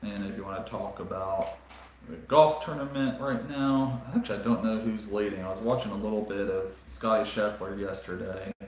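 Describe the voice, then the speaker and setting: A man with a Southern US accent at a fairly low pitch and moderate pace, with ordinary pitch variation, audible room echo and noticeable background noise. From US South, South Carolina. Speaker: Lego live streamer. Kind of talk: casual chat. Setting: live stream. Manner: halting, many fillers.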